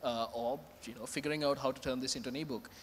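A man talks at a very fast pace. Light background noise sits behind him. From Sri Lanka. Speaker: author; panelist. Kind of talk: panel discussion. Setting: stage with audience. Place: stage. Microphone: handheld.

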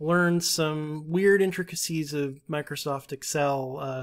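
A man with a normal speaking voice, fairly high in pitch, with fairly even intonation, in a very clean recording against a silent background. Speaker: editorial assistant. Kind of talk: casual chat.

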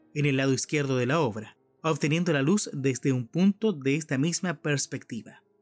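With music in the background and a dry, close sound with no echo, a man at a fairly high pitch speaks at a moderate pace. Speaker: radio announcer. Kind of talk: audio description of an artwork, museum podcast narration.

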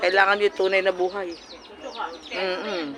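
Over noticeable background noise, a woman speaks at a fairly quick pace in an animated tone. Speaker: vlogger. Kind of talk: casual chat. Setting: party.

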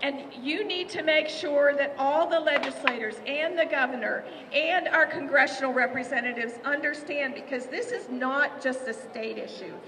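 A woman with an American accent talks at a moderate pace and high pitch, with ordinary pitch variation and light background noise. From West Virginia. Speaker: state legislator. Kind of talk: rally speech to a crowd. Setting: outdoor rally, crowd. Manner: earnest, rousing; warm, emotional. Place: street. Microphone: podium.

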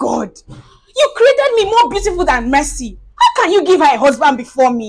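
A woman's whiny, put-on character voice at an extremely high pitch, with very wide pitch swings and a moderate pace. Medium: comedy sketch. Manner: whiny, upset, self-pitying.

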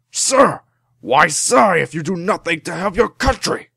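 In a put-on character voice, the speaker sounds raspy at a middle pitch and keeps a moderate pace. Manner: calling out sharply.

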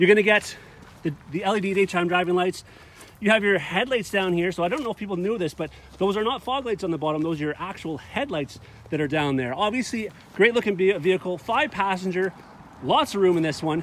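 A man talks at a fairly quick pace, and the sound is dry with no echo. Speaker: car salesman reviewer. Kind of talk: vehicle walkaround presentation. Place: open country. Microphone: phone near.

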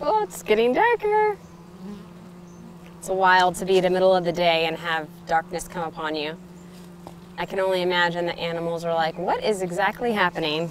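The delivery is fairly quick with fairly even intonation, the sound is dry with no echo, and background noise is noticeable. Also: woman, fairly low pitch for a woman. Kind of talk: casual vlog chat. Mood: amused, calm wonder. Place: garden.

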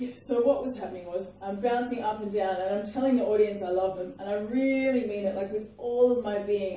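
A woman speaks at a fairly quick pace in a medium pitch, her tone dark and mellow, her pitch varying in an ordinary way, with strong room echo around her.

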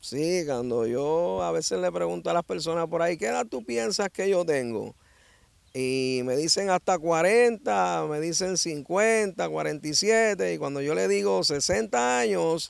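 In a dry recording with no echo and a quiet background, a man with a fairly high pitch speaks at a fairly slow pace, his pitch swinging very widely. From Dominican Republic, San Pedro de Macorís; Dominican Republic. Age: 60s. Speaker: ex-prisoner giving testimony; interviewee. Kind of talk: interview testimony; interview answer. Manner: animated. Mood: cheerful, animated storytelling. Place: open country. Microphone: handheld.

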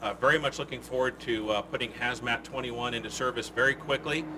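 Light background noise sits behind a man talking at a moderate pace with ordinary pitch variation. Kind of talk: press conference statement. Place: street. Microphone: podium.

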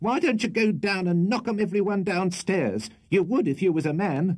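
In a put-on character voice, a man sounds shrill and high-pitched, with ordinary pitch variation, very even loudness and a moderate pace. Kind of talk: comic character reading. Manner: scolding, fast.

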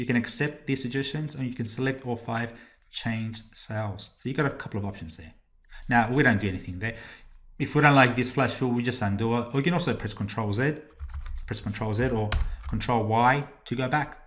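A man speaks in an Australian accent. His pace is fairly quick. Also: medium pitch for a man, ordinary pitch variation. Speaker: Excel trainer. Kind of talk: tutorial.

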